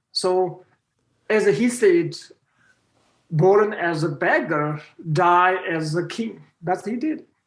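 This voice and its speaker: Speaking very slowly in a Tibetan accent, a man uses a high pitch and lively intonation, with long, frequent pauses. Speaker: Buddhist teacher. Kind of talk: interview conversation. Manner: halting.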